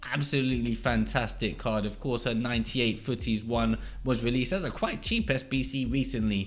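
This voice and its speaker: This man talks at a medium pitch with an English accent, ordinary pitch variation and vocal fry. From England. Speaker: gaming YouTuber. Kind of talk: scripted countdown commentary.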